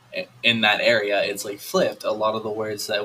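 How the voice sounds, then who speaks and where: Fairly quick talk from a man with an American accent, fairly low in pitch, in a bright, sharp tone. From United States. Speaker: college student back from study abroad. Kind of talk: casual chat.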